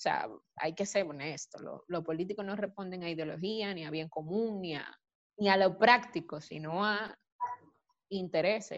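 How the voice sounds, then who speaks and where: A woman has an ordinary speaking voice at medium pitch. She talks at a fairly slow pace. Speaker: recent marketing graduate. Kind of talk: panel discussion.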